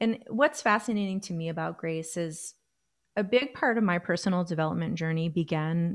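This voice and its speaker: In a plain, everyday voice, a woman speaks at a fairly low pitch with ordinary pitch variation. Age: 40s. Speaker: life coach and flutist. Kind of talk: casual chat. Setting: video call.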